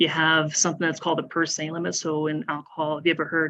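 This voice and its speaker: A woman speaks at a very deep, low pitch in a flat monotone. The background is quiet. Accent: Nova Scotian. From Nova Scotia. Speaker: police officer. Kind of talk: public talk at town hall. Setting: town hall meeting, live streamed.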